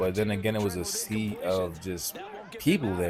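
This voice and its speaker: The speaker has an American accent and keeps a fairly slow pace. Music plays in the background, and there is audible room echo. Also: man. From Washington DC area. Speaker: gaming YouTuber. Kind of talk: gameplay commentary.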